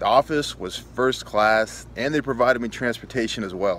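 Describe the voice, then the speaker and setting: A man speaks at a moderate pace with fairly even intonation. The sound is dry with no echo, over light background noise. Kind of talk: casual testimonial. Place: garden. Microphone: phone near.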